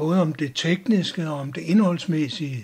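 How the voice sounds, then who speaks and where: His pitch is high for a man, varying in an ordinary way, and he speaks at a fairly slow pace. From Denmark. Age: 60s. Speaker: YouTuber, retired cultural sociologist. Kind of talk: channel introduction monologue.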